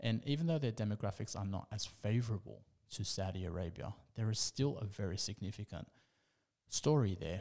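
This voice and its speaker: A man with an Australian accent speaks at a fairly quick pace in a fairly low pitch, his tone dark and mellow with ordinary pitch variation. The recording is very clean, with a silent background. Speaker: investment commentator. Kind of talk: monologue commentary. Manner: halting.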